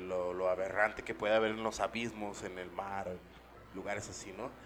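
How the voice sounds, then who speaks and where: A man's fairly low, monotone, flat voice with a Mexican accent, at a moderate pace. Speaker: podcast co-host. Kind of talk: casual chat.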